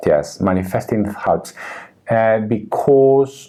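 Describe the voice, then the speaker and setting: Spoken at a fairly slow pace, this voice has a non-native accent and lively intonation. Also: man. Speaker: tarot reader and artist. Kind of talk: casual interview conversation. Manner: halting, with fillers and restarts.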